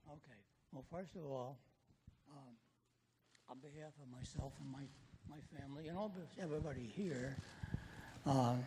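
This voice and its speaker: A man's somewhat breathy, fairly high voice with a dark, mellow tone, big swings in loudness and long, frequent pauses. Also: ordinary pitch variation, moderate pace. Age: 80s+. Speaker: audience member, veteran. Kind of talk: audience question. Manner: halting.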